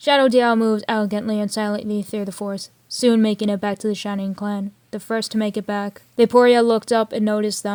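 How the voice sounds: What you hear is a natural reading voice.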